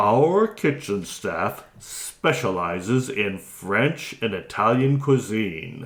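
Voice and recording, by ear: Someone reads aloud in a natural voice. Their intonation moves in a lively way.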